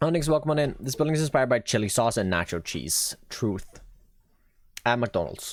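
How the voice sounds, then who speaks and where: A man with a slight Swedish accent and vocal fry speaks at a fairly quick pace, his medium pitch making very wide swings. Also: very clean recording, silent background. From Sweden. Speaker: Minecraft streamer. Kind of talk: live stream gameplay chat. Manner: casual, thinking aloud.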